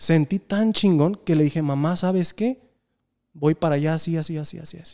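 Over a quiet background, a man speaks at a moderate pace in a dark, mellow tone and a fairly high pitch, with ordinary pitch variation and big swings in loudness. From Mexico. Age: 30s. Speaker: podcast host. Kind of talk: casual chat. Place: studio. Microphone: studio mic.

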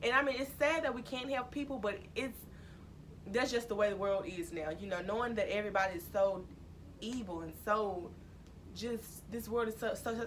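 Here a woman speaks in a Mississippi accent. There is light background noise. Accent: Southern US (Mississippi). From US South, Mississippi. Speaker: YouTuber. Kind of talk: casual vlog talk. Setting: at home, recording alone. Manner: casual, filler-heavy. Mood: earnest, serious advice. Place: home room. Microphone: camera far.

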